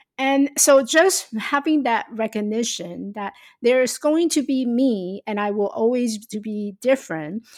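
In a Taiwanese accent, a woman speaks at a fairly slow pace and fairly high pitch with lively intonation, on a very clean recording with a silent background and a dry, close sound with no echo. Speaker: life coach and speaker. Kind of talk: interview.

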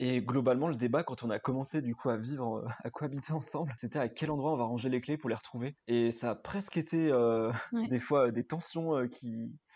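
A man speaks at a fairly quick pace in a medium pitch with a dark, mellow tone and ordinary pitch variation, against a quiet background. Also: hardly any pauses. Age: 20s. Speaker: project manager, student ministry member. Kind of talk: casual chat.

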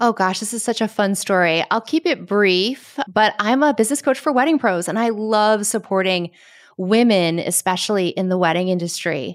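A woman talks in a normal speaking voice, medium in pitch, with an American accent. Her pace is moderate and her intonation lively. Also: very clean recording, silent background. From Connecticut, US. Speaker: business coach for wedding professionals. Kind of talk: casual interview chat.

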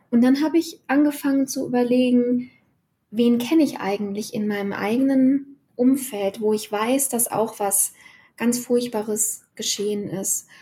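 A woman speaks at a high pitch in a dark, mellow tone. Her pace is fairly slow, with ordinary pitch variation. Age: 40s. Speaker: freelance writer and author. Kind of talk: interview conversation.

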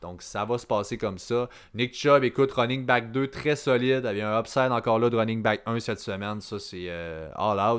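On a very clean recording with a silent background, a man with an unremarkable speaking voice talks at medium pitch, ordinary pitch variation and a moderate pace. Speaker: fantasy football podcast host. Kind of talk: casual chat.

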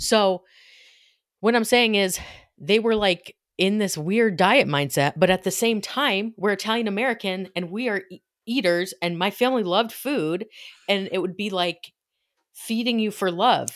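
Heard on a very clean recording with a silent background, an unremarkable speaking voice moves at a moderate pace with ordinary pitch variation. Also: woman, medium pitch for a woman. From upstate New York. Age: 40s. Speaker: podcast co-host. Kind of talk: casual chat.

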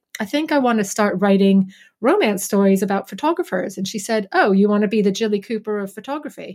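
With a plain, everyday voice, a woman speaks at a fairly quick pace and fairly high pitch with ordinary pitch variation. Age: 40s. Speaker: rom-com author and wedding photographer. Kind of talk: casual interview.

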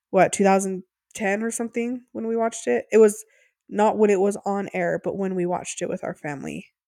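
In a very clean recording with a silent background and a dry, close sound with no echo, a woman speaks at a medium pitch with ordinary pitch variation and a dark, mellow tone. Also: fairly quick pace. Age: 30s. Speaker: podcast co-host. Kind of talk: casual chat.

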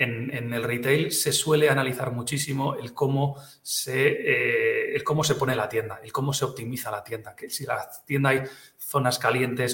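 In a Catalan accent, a man at medium pitch talks at a moderate pace with monotone, flat intonation. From Catalonia. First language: Catalan (speaking Spanish). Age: 40s. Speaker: retail expert. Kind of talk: interview. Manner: halting, many repetitions.

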